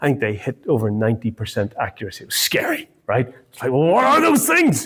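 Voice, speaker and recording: A man with an Irish accent speaks at a moderate pace in a medium pitch. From Ireland. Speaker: marriage course teacher. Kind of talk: talk to a group. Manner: halting, many fillers and repeats.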